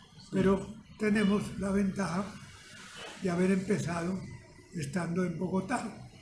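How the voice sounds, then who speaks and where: Speech comes at a fairly slow pace with long, frequent pauses and fairly even intonation. Noticeable background noise and audible room echo are present. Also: man, high pitch for a man. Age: 90s. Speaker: retired radio producer. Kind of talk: interview.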